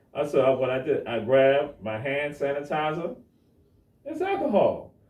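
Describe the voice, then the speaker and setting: A man's animated tone at a moderate pace, with audible room echo. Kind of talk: panel discussion on live stream. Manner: loud; animated storytelling.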